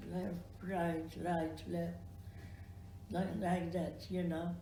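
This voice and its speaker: Speaking at a very slow pace, a woman draws out her words. Noticeable background noise can be heard behind her. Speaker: Holocaust survivor. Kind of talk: interview answer.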